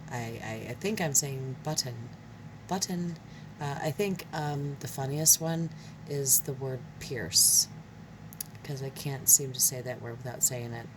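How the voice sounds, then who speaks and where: Soft-spoken woman with a very deep, low pitch, ordinary pitch variation, big swings in loudness, a fairly slow pace and long, frequent pauses, over noticeable background noise. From Michigan, US. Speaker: craft video creator. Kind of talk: tutorial. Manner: hesitant, many fillers.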